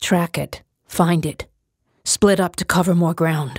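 A put-on character voice, raspy and hoarse, at a middle pitch and a fairly slow pace. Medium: read story. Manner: curt, stern.

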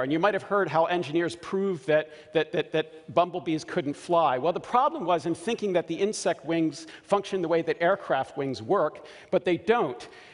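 This man has an American accent and a high pitch. His pitch varies in an ordinary way. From US, Baltimore. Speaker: scientist. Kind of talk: conference talk. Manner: halting, many fillers and repeats. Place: stage. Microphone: headset.

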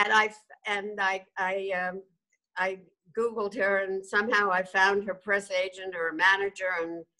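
A woman speaks in a flat monotone with a bright, sharp tone against a quiet background. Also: moderate pace. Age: 80s+. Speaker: documentary director, journalist. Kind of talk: interview answer. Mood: warm, animated. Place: home room. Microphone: video call.

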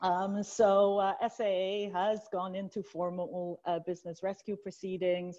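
Delivered at a very slow pace, the speech has a dark, mellow tone and a monotone, flat intonation over a quiet background. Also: woman, medium pitch for a woman. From Canada, Chinese heritage. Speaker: banking lawyer. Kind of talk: panel discussion. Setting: Zoom video call. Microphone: earbuds.

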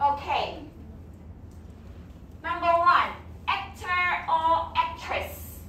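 There is audible room echo and light background noise around a woman's voice. She speaks at a very slow pace with long, frequent pauses. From South Africa. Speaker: English teacher. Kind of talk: classroom teaching to young learners. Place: classroom.

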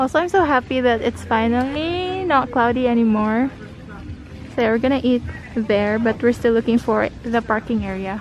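The speaker moves at a moderate pace with ordinary pitch variation. Clear music sits in the background, and the sound is dry with no echo. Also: woman, high pitch for a woman. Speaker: vlogger. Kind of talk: casual vlog chat. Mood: happy, excited. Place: garden. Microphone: phone near.

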